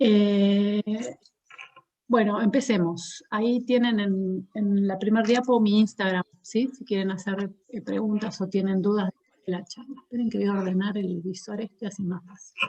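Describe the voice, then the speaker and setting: A woman with a dark, mellow tone and medium pitch speaks fairly slowly and somewhat breathily, her intonation fairly even but her loudness swinging widely. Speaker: psychologist. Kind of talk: lecture.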